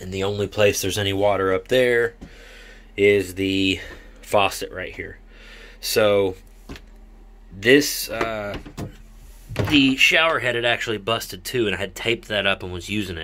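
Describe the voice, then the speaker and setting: Over light background noise, a man with a fairly low pitch speaks at a moderate pace with fairly even intonation and long, frequent pauses. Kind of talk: casual DIY explanation. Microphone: phone near.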